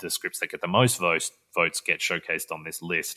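A man speaks with an Australian accent in a bright, sharp tone. The recording is very clean with a silent background and a dry, close sound with no echo. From Western Australia (Perth). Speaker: film director. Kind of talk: casual interview chat.

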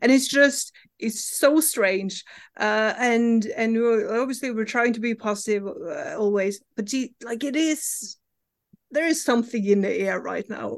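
A woman with a Norwegian accent speaks fairly slowly, fairly high in pitch, with ordinary pitch variation. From Norway. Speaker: comic book writer. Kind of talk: interview.

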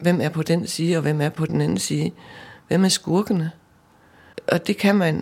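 With a fairly low pitch and vocal fry, a woman talks at a fairly slow pace, leaving long, frequent pauses, and her pitch varies in an ordinary way. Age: 60s. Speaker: volunteer costume maker. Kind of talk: casual interview.

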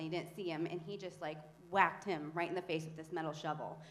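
A woman with a plain, everyday voice speaks at a fairly low pitch with fairly even intonation. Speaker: church member. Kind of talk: testimony. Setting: church.

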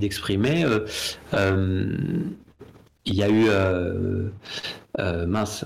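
A man's fairly low voice amid audible room echo and noticeable background noise. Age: 40s. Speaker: comic book artist. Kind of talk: casual interview chat. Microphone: too far from the mic at first.

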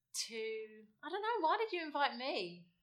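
A woman with an English accent. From England. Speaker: interviewer. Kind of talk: casual chat. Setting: home.

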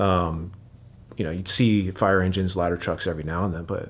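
Someone with an American accent speaks at a fairly quick pace, with audible room echo. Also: man. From US Pacific Northwest, Seattle. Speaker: firefighter. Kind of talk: long-form interview. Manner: casual, many fillers.

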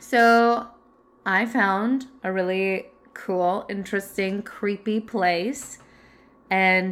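Speaking with a Canadian accent, a woman uses medium pitch and ordinary pitch variation. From Canada. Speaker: podcast co-host. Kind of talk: casual chat; storytelling.

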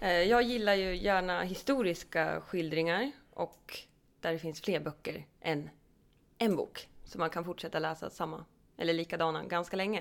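At a moderate pace, a woman speaks in a normal speaking voice with a fairly low pitch and ordinary pitch variation. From Hälsingland, Sweden (Edsbyn). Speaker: podcast co-host. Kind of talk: casual chat.

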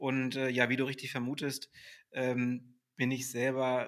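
Flat, monotone intonation marks a man's medium-pitched speech. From Hamburg, northern Germany. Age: 30s. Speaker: sales director at a fitness software company. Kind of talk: podcast interview. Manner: hesitant, many filler sounds.

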